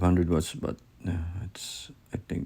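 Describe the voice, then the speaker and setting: A man's very deep, low voice, dark and mellow in tone, with a non-native accent. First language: not English. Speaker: hobbyist crypto miner YouTuber. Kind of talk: unboxing video. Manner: halting, self-correcting.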